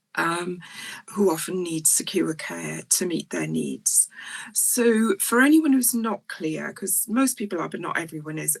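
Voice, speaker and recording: A woman with a South Welsh accent at a fairly slow pace. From South Wales, near Port Talbot. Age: 60s. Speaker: psychiatrist. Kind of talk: lecture. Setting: online talk. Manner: hesitant, frequent ums.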